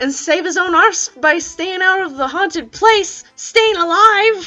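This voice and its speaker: A woman uses a put-on character voice at a fairly slow pace. Faint music sits in the background. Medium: read story. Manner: grumbling.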